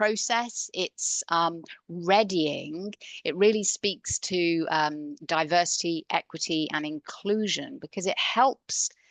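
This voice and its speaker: An ordinary speaking voice with lively intonation comes through with a dry, close sound with no echo against a quiet background. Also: woman. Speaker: coach. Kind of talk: conference talk.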